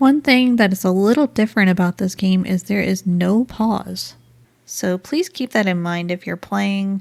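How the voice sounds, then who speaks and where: Dry and close with no echo, a very clean recording with a silent background captures a woman in a normal speaking voice. She speaks at a moderate pace and a medium pitch with ordinary pitch variation. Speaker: gaming YouTuber. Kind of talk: game review talk to camera. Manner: friendly, casual.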